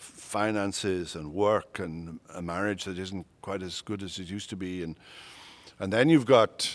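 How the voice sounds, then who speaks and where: A man's very deep, low voice with a Welsh accent, fairly slow and fairly even in intonation, on a very clean recording with a silent background. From Wales. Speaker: retired pastor and seminary professor. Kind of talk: interview conversation. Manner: halting, many repetitions.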